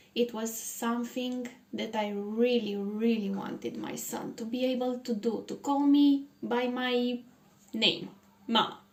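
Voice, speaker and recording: In a Romanian accent, a woman with a high pitch speaks at a very slow pace. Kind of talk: personal testimony. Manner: halting, many pauses.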